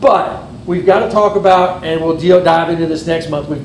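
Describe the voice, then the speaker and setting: Very fast speech with fairly even intonation, audible room echo and noticeable background noise. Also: man. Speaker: amateur radio club officer. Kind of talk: club meeting presentation.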